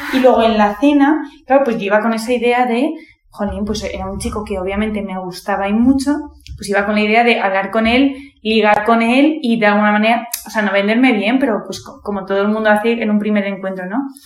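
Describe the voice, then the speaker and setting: Audible room echo and noticeable background noise surround a woman who speaks at a fairly quick pace with a fairly high pitch. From Madrid, Spain. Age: 20s. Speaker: university student. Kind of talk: testimony. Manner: animated.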